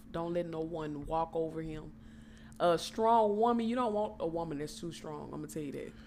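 A woman speaks at a fairly low pitch and moderate pace, her tone animated and her intonation lively. Audible room echo surrounds her voice. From Texas, Port Arthur. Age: 20s. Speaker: podcast guest, host's cousin. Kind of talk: casual chat.

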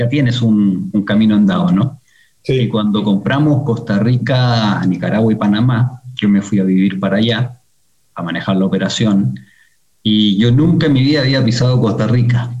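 A man's somewhat breathy, dark, mellow voice at a medium pitch, moderate in pace with ordinary pitch variation. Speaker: executive in a family car dealership business. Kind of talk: interview conversation. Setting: video call.

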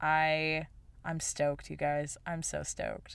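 A woman with an American accent speaks fairly slowly in an animated, bright and sharp tone, on a very clean recording with a silent background. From Utah, small town. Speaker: photographer and podcast host. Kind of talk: casual solo talk. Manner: animated, laughs often.

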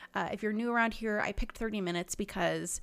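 Bubbly and animated, a woman speaks at a very fast pace at a medium pitch. The recording is very clean, with a silent background. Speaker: nutrition podcast host, diet technician. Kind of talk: casual solo podcast talk. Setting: studio recording. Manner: bubbly, animated.

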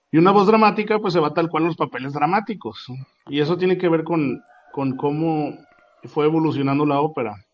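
At a fairly quick pace, a man with a normal speaking voice talks at a fairly high pitch with ordinary pitch variation. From Mexico, Torreón. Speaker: opera singer. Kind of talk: interview.

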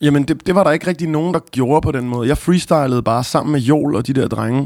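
A man speaks fairly quickly, his pitch varying in an ordinary way. The recording is very clean and the background silent. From Copenhagen area, Denmark. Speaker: rapper. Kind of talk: interview. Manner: halting.

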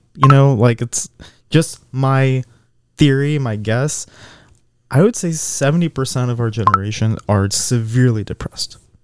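Recorded with a dry, close sound and no echo, a man in a normal speaking voice talks at a moderate pace, medium in pitch, with ordinary pitch variation. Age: 20s. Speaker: podcast co-host. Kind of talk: casual chat.

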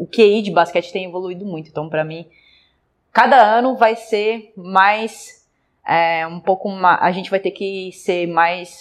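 Speaking fairly slowly in a normal speaking voice, a woman holds a medium pitch with fairly even intonation while her loudness swings widely. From Brazil, interior. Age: 30s. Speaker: basketball coach and athlete. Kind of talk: interview.

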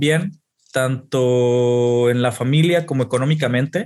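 A man talks in a normal speaking voice at a fairly slow pace. His pitch is fairly high, with ordinary variation. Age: 30s. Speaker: esports performance coach. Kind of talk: casual chat.

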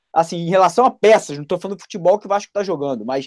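With a dry, close sound and no echo, a man talks using ordinary pitch variation. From Niterói, Rio de Janeiro, Brazil. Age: 30s. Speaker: YouTube football news channel host. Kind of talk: casual chat.

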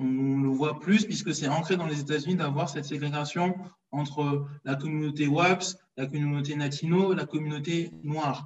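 A man with a normal speaking voice, fairly high pitch, fairly even intonation and a moderate pace. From France (Paris), Congolese heritage. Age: 30s. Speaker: history page creator, financial controller. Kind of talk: casual interview.

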